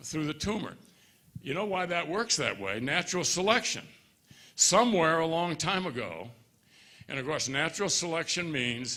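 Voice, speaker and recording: With an American accent and audible room echo, a man speaks at a moderate pace in a bright, sharp tone with vocal fry and very wide pitch swings. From US Midwest, Chicago. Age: 80s+. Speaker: fitness speaker, former trial lawyer. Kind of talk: talk to physicians at a conference. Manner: animated.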